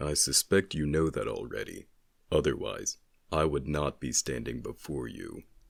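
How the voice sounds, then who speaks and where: A man's put-on character voice, very deep and low-pitched, at a moderate pace. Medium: audio drama. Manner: measured, terse, solemn.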